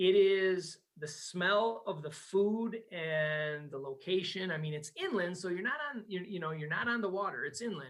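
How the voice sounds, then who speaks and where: A man with a Wisconsin accent, high pitch, ordinary pitch variation, an animated tone and hardly any pauses. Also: moderate pace. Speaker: travel business owner. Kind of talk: podcast interview.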